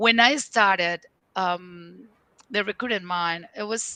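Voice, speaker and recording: A woman with a Spanish accent speaks at medium pitch in a bright, sharp tone with fairly even intonation and a dry, close sound with no echo. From Venezuela. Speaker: leadership and career coach. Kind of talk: interview. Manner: halting, frequent fillers.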